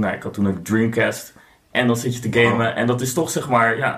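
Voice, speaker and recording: A man has a plain, everyday voice at a medium pitch. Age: 40s. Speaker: board game designer. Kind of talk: casual chat.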